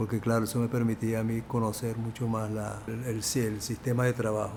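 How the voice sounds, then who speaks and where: The speaker uses monotone, flat intonation in a Venezuelan accent. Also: man. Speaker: film producer. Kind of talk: interview answer.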